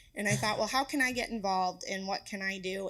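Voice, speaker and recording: A woman at a medium pitch with ordinary variation is heard in a very clean recording with a silent background. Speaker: postpartum nurse. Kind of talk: presentation with Q&A. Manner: fast.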